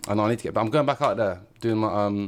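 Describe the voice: A man's fairly low-pitched voice at a very fast pace, with ordinary pitch variation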